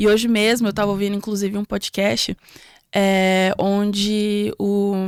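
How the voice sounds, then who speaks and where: A woman's fairly slow, monotone delivery with flat intonation, on a very clean recording with a silent background. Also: medium pitch for a woman, dry, close sound with no echo. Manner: hesitant, many fillers.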